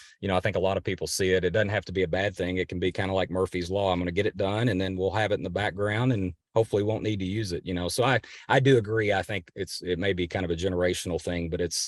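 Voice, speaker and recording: Very fast speech with hardly any pauses and fairly even intonation, dry and close with no echo over a quiet background. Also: man, very deep, low pitch for a man. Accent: Kentucky. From western Kentucky. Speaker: family lawyer. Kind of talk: podcast interview. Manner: halting.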